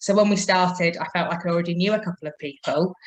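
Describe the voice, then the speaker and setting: An unremarkable speaking voice from a woman, medium-pitched, its pitch varying in an ordinary way. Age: 30s. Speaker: mature student. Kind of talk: testimony.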